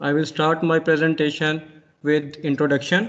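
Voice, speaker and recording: This man speaks at a moderate pace. His pitch sits fairly high. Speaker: conference presenter, engineering researcher. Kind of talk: academic presentation. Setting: online video conference. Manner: soft-spoken. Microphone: too quiet, mic far away.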